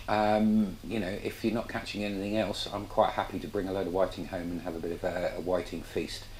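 A man with a plain, everyday voice talks at a moderate pace in a fairly low pitch. There is light background noise. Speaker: fishing channel host. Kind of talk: casual cooking tutorial. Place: kitchen. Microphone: camera far.

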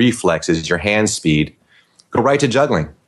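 In a normal speaking voice, a man talks fairly quickly with a fairly low pitch. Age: 50s. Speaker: comedy juggler. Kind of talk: interview.

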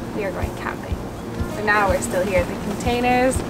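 A woman's voice against loud background noise. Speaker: travel vlogger. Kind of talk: casual vlog chat. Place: garden.

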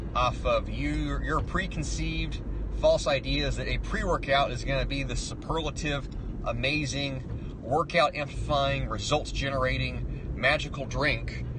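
The speech comes at a fairly slow pace. There is noticeable background noise, and the sound is dry with no echo. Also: man. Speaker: fitness vlogger. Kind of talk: casual vlog rant. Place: car. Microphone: phone near.

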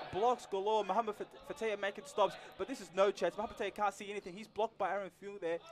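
Amid noticeable background noise, a man with a high pitch speaks at a very fast pace in an enthusiastic tone. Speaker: co-commentator, analyst. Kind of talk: live sports commentary, colour analysis. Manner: enthusiastic, quick reactive remarks.

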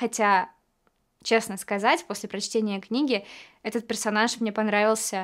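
Delivered at a moderate pace with fairly even intonation, the speech sits over a quiet background. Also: woman. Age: 20s. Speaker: actress. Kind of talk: actor showreel self-introduction. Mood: warm, calm, lightly playful. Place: studio.

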